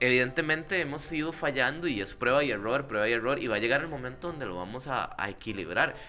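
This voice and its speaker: A man with a Costa Rican accent, medium pitch, lively intonation, a very fast pace, hardly any pauses and audible room echo. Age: 20s. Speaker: comedy podcast co-host. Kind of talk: casual chat.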